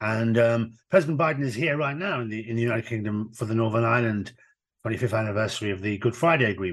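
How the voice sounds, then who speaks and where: Speaking at a very fast pace, a man with a Midlands accent is heard against a quiet background. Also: medium pitch for a man, ordinary pitch variation. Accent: British English, Midlands. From England, Birmingham. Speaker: former chief prosecutor and university chancellor. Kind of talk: interview. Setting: remote call.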